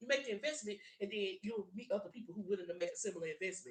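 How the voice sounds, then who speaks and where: A woman with a medium-pitched, somewhat breathy voice speaks in an animated tone, her intonation lively and her loudness swinging widely. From US South, South Louisiana. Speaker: tarot reader. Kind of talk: tarot reading livestream. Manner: animated, emphatic.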